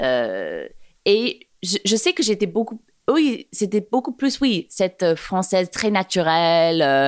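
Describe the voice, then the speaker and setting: A woman with an American accent at a very slow pace, with very wide pitch swings, in a very clean, dry, close recording with no echo and a silent background. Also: medium pitch for a woman. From New York area, US (Montclair, New Jersey). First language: English (speaking French). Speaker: fashion and digital communication entrepreneur. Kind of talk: casual interview. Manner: halting, many hesitations.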